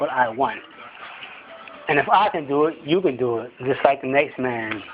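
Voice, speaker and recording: Noticeable background noise sits behind the recording. A man speaks with a fairly high pitch and ordinary pitch variation. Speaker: vlogger. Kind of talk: motivational monologue. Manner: fast; halting.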